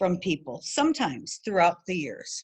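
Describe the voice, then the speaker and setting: A woman with an American accent speaks at a medium pitch, sounding somewhat breathy. Her pitch swings very widely. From US Midwest, Wisconsin (Milwaukee area). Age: 70s. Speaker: retired sales director. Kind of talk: motivational talk. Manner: direct; animated.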